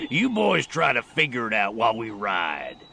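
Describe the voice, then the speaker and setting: Using a put-on character voice, a man speaks at medium pitch and a moderate pace with ordinary pitch variation. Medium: audio drama. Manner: crusty, folksy frontier drawl.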